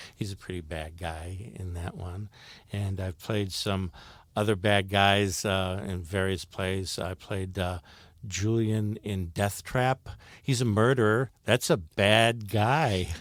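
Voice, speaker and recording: Speaking at a very slow pace, a man uses a fairly low pitch with ordinary pitch variation on a very clean recording with a silent background. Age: 60s. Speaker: stage actor. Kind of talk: interview. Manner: halting, with many fillers.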